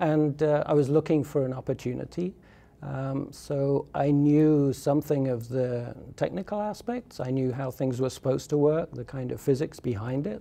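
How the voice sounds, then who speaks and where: A man with an English accent talks in a dark, mellow tone. His pitch sits fairly high, with ordinary variation. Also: moderate pace. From southern England. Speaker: solar energy expert. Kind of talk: interview. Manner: hesitant, many fillers.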